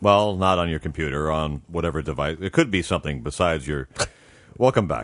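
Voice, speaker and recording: A man's booming voice, very deep and low, moves through ordinary pitch variation. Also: fairly quick pace. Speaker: comedian and voice actor. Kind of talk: casual chat, interview. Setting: studio. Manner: announcer-style radio voice.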